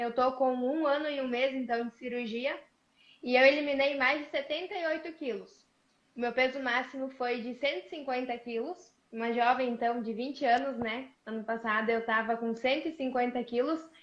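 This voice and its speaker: A woman speaks at a moderate pace in a high pitch, her intonation fairly even. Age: 20s. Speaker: digital influencer, bariatric surgery patient. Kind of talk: live interview, testimony. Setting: online live stream.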